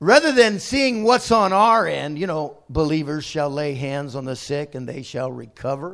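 A man with a plain, everyday voice, fairly high in pitch, lively in intonation, moderate in pace, with big swings in loudness. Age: 60s. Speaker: visiting bishop preaching. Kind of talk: sermon. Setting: church service with congregation.

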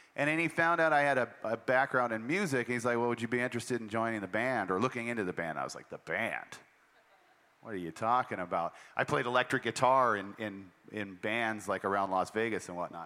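A man speaks very fast at a medium pitch. His tone is bright and sharp, with ordinary pitch variation. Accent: American. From Montana. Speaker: army musician. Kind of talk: workshop conversation on stage. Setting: festival stage with audience.

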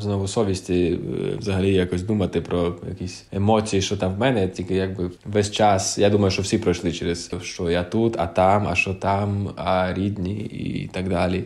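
Hardly any pauses break up this unremarkable speaking voice. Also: man. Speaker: orchestra conductor. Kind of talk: interview.

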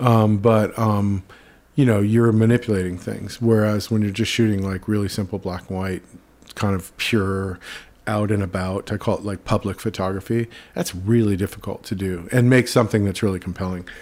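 A man with an unremarkable speaking voice, fairly low pitch and fairly even intonation at a moderate pace, on a very clean recording with a silent background. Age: 50s. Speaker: photographer. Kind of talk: casual interview. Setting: in-person at his studio.

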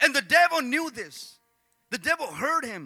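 Using a raised, projected voice, a man speaks at a moderate pace in a bright, sharp, animated tone. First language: Spanish. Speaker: pastor. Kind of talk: sermon. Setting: church.

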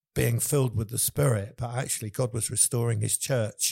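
Speaking with an English accent, a man uses a dark, mellow, somewhat breathy tone at medium pitch in a monotone, flat intonation. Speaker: worship leader and church leader. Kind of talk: casual interview chat.

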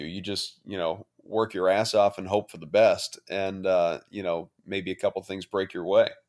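On a very clean recording with a silent background, a plain, everyday voice with an American accent moves at a moderate pace. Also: man. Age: 30s. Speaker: sports radio anchor. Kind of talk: casual interview.

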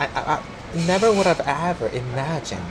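A man at a moderate pace, his pitch swinging very widely, with noticeable background noise. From South Korea, Seoul (Gangnam). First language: Korean. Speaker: tour guide. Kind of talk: casual chat. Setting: noisy cafe.

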